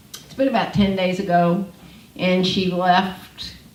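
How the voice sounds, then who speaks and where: There is audible room echo and noticeable background noise as a woman speaks with a fairly low pitch. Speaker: homeless ministry leader. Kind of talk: panel talk. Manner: loud.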